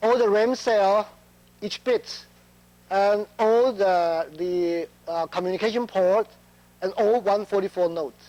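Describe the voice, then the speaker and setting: Speaking at a fairly slow pace with long, frequent pauses, a man with a non-native accent has a high pitch. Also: fairly even intonation. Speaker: chip test engineer. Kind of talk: conference talk. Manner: halting, many fillers.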